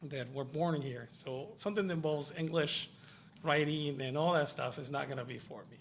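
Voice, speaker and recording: In a Spanish accent, a man speaks at a moderate pace and a fairly high pitch with ordinary pitch variation, and the room echo is audible. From Mexico, Yucatan. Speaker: IT professional, former kitchen worker. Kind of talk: radio interview. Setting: radio studio.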